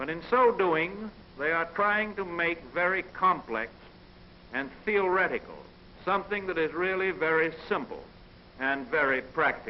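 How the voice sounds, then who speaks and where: A man with an American accent speaks at a high pitch with ordinary pitch variation. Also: fairly slow pace. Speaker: national political leader. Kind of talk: presidential radio address. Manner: intimate, conversational.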